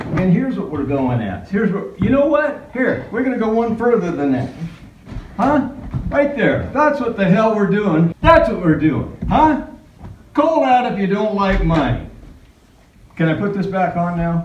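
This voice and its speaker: Light background noise and audible room echo fill the recording. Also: man, moderate pace. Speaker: family man vlogger. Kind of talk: casual vlog chat. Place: gym. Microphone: phone near.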